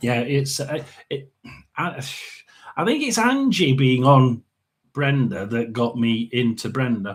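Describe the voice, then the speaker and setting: Pausing long and often, a man talks at a fairly slow pace and medium pitch, somewhat breathy, with ordinary pitch variation. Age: 60s. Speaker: tarot and paranormal livestreamer. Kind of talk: casual chat. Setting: livestream. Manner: halting.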